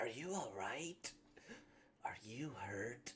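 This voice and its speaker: Over clear background noise, a male speaker puts on a character voice. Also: medium pitch for a man. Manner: gallant, gentle.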